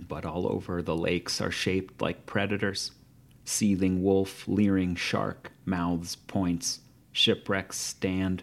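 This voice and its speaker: At a very slow pace, a man with an American accent and a very deep, low pitch speaks in a monotone, flat intonation on a very clean recording with a silent background. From US Midwest, Ohio. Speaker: poet. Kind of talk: poetry reading; interview. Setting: hotel room.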